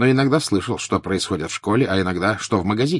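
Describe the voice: Someone is doing plain reading aloud.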